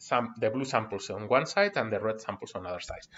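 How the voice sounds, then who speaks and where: A man with a Spanish accent speaks with very wide pitch swings. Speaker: university lecturer. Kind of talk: online lecture. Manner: halting, many fillers.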